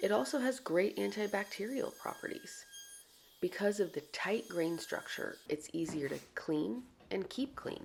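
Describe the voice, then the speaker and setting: A soft-spoken woman talks at a fairly slow pace. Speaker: woodworker. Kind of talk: soft-spoken ASMR tutorial narration.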